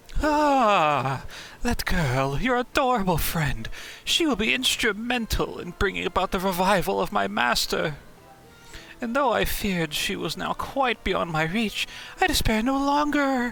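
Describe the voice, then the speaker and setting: Against clear background noise, a man uses a high-pitched, put-on character voice. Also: moderate pace. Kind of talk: theatrical villain overacting. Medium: game stream. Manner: silky, mocking, self-admiring.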